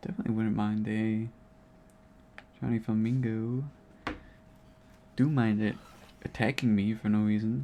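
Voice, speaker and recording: A man speaks at a moderate pace with an American accent. He leaves long, frequent pauses. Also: medium pitch for a man. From United States. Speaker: video game streamer. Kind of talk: casual gaming livestream commentary. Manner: monotone.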